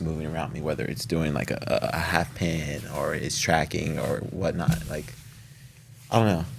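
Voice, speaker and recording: Amid noticeable background noise and audible room echo, a man with a very deep, low voice mumbles at a fairly quick pace. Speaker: actor. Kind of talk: casual chat. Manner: tends to mumble.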